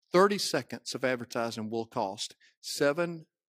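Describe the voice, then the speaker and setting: In a Mississippi accent, a man of medium pitch speaks at a fairly slow pace with lively intonation, the sound dry and close with no echo on a very clean recording with a silent background. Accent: Southern US (Mississippi). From US South, Mississippi. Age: 50s. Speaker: pastor. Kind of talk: sermon. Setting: church.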